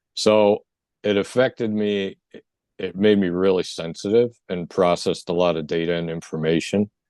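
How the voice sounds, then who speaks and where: A man mumbles in a very deep, low voice. His pace is moderate and his intonation fairly even. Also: quiet background. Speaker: near-death experience survivor and energy healer. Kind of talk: interview testimony. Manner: mumbling.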